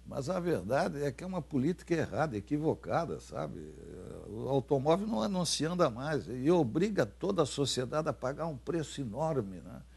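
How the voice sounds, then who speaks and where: With vocal fry, a man speaks at a moderate pace against a quiet background. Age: 80s+. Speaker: former senator. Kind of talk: interview. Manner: halting, many fillers and repetitions.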